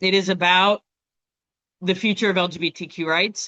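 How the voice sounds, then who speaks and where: A woman's fairly low voice at a moderate pace. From Canada. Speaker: lawyer and educator. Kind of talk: educational webinar. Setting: video call. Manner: animated.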